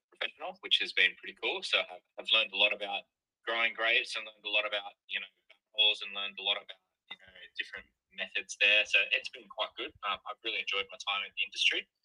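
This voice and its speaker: Very fast speech in an Australian accent with big swings in loudness. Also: man. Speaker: crypto project representative. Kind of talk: interview.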